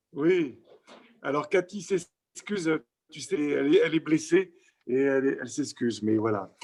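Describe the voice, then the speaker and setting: With lively intonation and big swings in loudness, a man speaks in a fairly high voice. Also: moderate pace. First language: French. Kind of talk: casual greeting.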